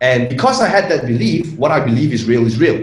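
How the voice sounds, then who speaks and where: A man's medium-pitched voice with a Malaysian accent, ordinary pitch variation and audible room echo. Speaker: internet marketer. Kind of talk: interview.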